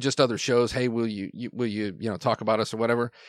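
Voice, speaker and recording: A man at a medium pitch, dry and close with no echo, on a very clean recording with a silent background. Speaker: podcast creator guest. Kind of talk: casual interview chat. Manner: halting, filler-heavy.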